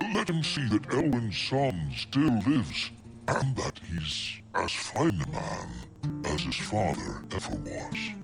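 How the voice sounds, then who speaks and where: Over clear background music, a man does a cartoonish character voice at a medium pitch and a fairly slow pace. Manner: courteous, deferential.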